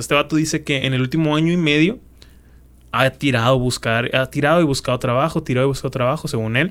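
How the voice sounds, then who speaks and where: An unremarkable speaking voice with ordinary pitch variation and a fairly quick pace. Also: man. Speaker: podcast co-host. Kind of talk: casual chat.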